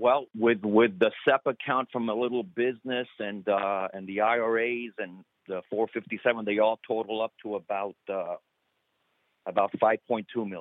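An unremarkable speaking voice from a man at medium pitch, moderate pace and fairly even intonation. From Cuba, raised in US. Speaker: retired firefighter. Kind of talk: phone-in conversation. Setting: phone call. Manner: casual.

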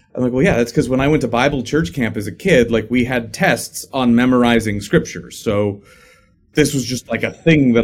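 An unremarkable speaking voice proceeds at a moderate pace. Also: man. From Illinois, US Midwest. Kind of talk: casual interview conversation.

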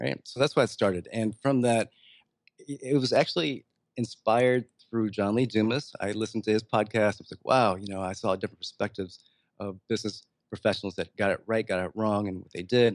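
At a fairly quick pace, a man with a fairly low pitch speaks with ordinary pitch variation in a dry, close sound with no echo. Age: 40s. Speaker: business consultant. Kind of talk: interview.

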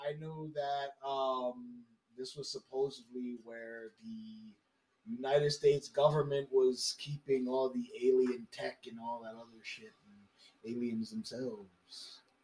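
Over music in the background, a man speaks at medium pitch and a fairly slow pace, with ordinary pitch variation and big swings in loudness. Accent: New York. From Brooklyn, New York. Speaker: podcast guest. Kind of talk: casual chat.

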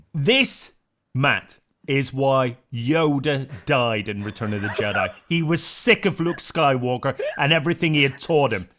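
Fairly high in pitch with a bright, sharp tone, a man speaks at a fairly slow pace with ordinary pitch variation. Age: 50s. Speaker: comedian and team captain. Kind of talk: comedy panel show banter.

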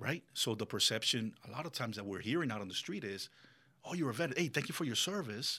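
On a very clean recording with a silent background, a man of medium pitch talks very fast in a bright, sharp tone with lively intonation. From Colombia, raised in Miami. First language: Spanish. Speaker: business owner and military veteran. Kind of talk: casual interview chat. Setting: studio. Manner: animated.

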